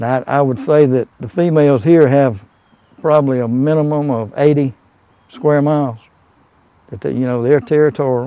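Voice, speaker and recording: A man with a South Carolina accent, fairly high pitch, and a dark, mellow tone, at a moderate pace with fairly even intonation and long, frequent pauses. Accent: Southern US (South Carolina). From US South, Abbeville County, South Carolina. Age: 60s. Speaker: local witness of wildlife sightings. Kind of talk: casual interview. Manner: halting.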